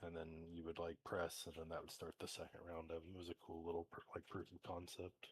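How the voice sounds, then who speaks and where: A man speaks fast, with hardly any pauses, in a very deep, low pitch and monotone, flat intonation. The voice is somewhat breathy, with a dry, close sound and no echo. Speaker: viewer joining the live stream by voice chat. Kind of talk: casual chat.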